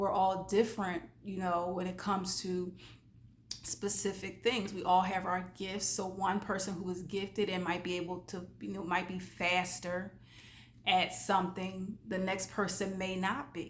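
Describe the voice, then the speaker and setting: A woman's medium-pitched, monotone, flat voice at a fairly slow pace, with audible room echo. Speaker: life coach. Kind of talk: motivational talk. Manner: casual, conversational.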